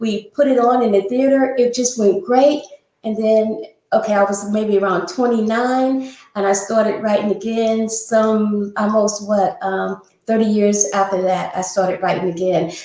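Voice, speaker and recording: She has a plain, everyday voice. The woman's pitch is fairly high, with ordinary pitch variation. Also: moderate pace. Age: 60s. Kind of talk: interview. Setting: live stream.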